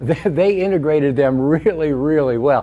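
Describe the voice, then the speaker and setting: The speaker is a man with a fairly high pitch. He talks at a moderate pace over noticeable background noise. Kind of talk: casual talk on a live show.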